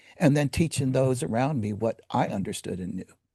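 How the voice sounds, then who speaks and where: Lively intonation in a man's medium-pitched voice, dark and mellow in tone, with a dry, close sound and no echo. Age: 60s. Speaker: leadership coach and Air Force veteran. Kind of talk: interview. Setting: podcast interview. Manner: halting, frequent stutters and fillers.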